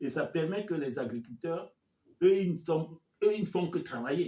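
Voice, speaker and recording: A man's dark, mellow tone carries vocal fry. He speaks at a fairly slow pace. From Cameroon. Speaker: community leader, finance expert. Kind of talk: interview. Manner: halting.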